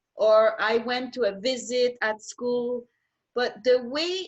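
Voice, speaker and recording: In a French accent, a woman speaks at a very slow pace and a high pitch. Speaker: teacher and home cook. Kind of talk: casual interview. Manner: halting.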